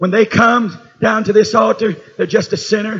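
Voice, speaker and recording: With a Southern US accent, a man speaks at a high pitch. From Tennessee. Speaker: preacher. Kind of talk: sermon. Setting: church.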